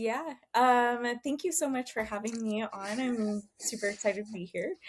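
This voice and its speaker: An unremarkable speaking voice with an American accent comes at a moderate pace. The pitch varies in an ordinary way. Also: woman, fairly high pitch for a woman. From Texas. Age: 40s. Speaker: fitness coach and business owner. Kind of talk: podcast interview.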